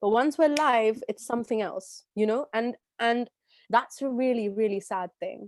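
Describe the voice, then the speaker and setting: With a London accent, a woman talks at a moderate pace in a fairly high pitch with ordinary pitch variation, the sound dry and close with no echo. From London, England. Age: 20s. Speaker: talk show host and classical artist. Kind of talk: live interview conversation. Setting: live stream. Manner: animated.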